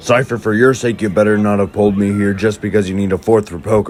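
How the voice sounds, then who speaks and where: A man does a cartoonish character voice at a fairly low pitch. He talks at a very fast pace. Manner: gruff, irritable.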